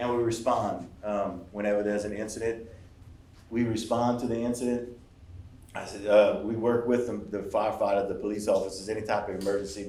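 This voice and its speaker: Delivered at a fairly quick pace, the voice has a dark, mellow tone and monotone, flat intonation, with audible room echo. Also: man, fairly low pitch for a man. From Louisiana Cajun country. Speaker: emergency management official. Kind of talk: public presentation. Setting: workshop with audience. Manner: fast.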